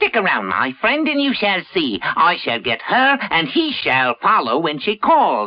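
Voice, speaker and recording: A cartoonish character voice at a middle pitch runs at a moderate pace with hardly any pauses. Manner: sly, gloating.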